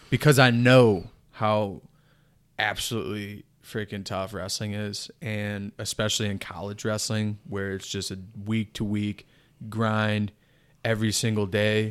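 A man talks at a moderate pace in a fairly low pitch, with a plain, everyday voice. The recording is very clean, with a silent background. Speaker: podcast host. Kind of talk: casual interview conversation.

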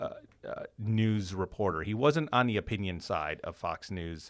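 A man speaks with a fairly low pitch in a very clean recording with a silent background. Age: 40s. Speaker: communications professor. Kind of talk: interview. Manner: halting, frequent repetitions and fillers.

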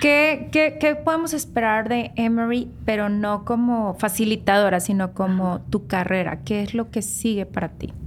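A woman's fairly high voice with lively intonation, at a fairly slow pace with hardly any pauses. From Mexico, Nuevo León (Guadalupe). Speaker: podcast host. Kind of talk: interview. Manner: animated.

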